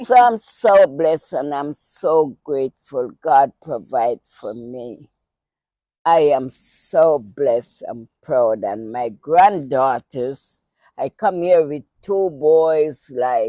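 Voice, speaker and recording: A woman with a very deep, low voice and a dark, mellow tone speaks very slowly. Her intonation is lively, her loudness swings widely, and the sound is dry and close with no echo. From Jamaica. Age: 80s+. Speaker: grandmother sharing life story. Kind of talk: casual chat.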